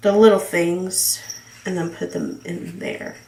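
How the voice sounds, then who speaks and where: Amid noticeable background noise, a woman of medium pitch speaks at a fairly slow pace. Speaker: planner hobbyist. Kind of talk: casual talk to camera. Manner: chatty, rambling.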